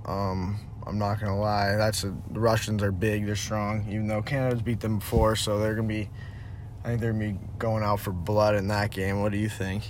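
A man's fairly low voice with an American accent, fairly quick and flat in a monotone, with audible room echo. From Connecticut, US. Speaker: hockey player. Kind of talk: casual chat.

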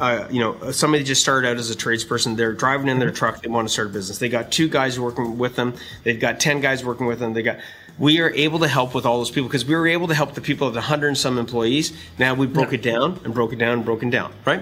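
Speaking very fast, a man uses a medium pitch with ordinary pitch variation. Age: 50s. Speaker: business coach and podcast host. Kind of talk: casual chat. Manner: animated.

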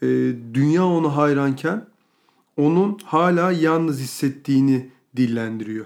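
A man with a fairly high voice and ordinary pitch variation speaks at a fairly slow pace. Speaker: podcast co-host. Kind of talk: casual chat.

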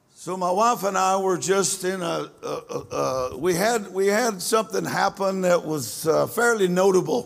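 Noticeable background noise sits behind speech delivered at a fairly slow pace with ordinary pitch variation. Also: man, high pitch for a man. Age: 70s. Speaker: preacher. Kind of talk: sermon.

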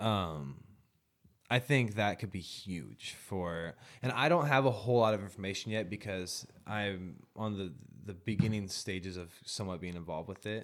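Speaking at a moderate pace with an American accent, a man uses an unremarkable speaking voice at a fairly low pitch. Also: ordinary pitch variation, big swings in loudness. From US Pacific Northwest (eastern Washington / northern Idaho). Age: 20s. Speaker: rapper. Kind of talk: casual chat.

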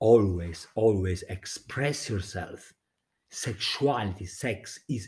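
The voice is somewhat breathy. Its pace is very slow. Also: man. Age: 40s. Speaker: podcaster. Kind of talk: late-night solo monologue. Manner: halting; laughing often.

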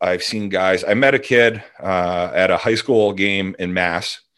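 A man speaks with very deep, low pitch. His intonation stays fairly even. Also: very clean recording, silent background. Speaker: former hockey scout. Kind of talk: casual chat.

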